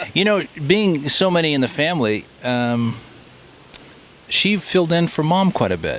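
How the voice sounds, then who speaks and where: A man's lively intonation comes through over clear background noise. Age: 60s. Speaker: family member. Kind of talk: casual chat. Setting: outdoors.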